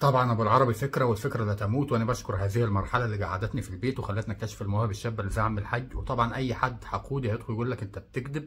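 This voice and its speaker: Very rapid speech comes from a man whose intonation stays fairly even. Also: medium pitch for a man, hardly any pauses. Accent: Egyptian. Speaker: reaction video creator. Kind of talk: comedic video commentary.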